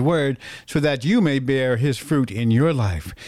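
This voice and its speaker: A man with an unremarkable speaking voice, a fairly high pitch and ordinary pitch variation comes through on a very clean recording with a silent background. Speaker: radio host. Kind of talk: radio dj patter. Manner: warm, upbeat, preacherly; smooth, rhythmic, ad-read delivery.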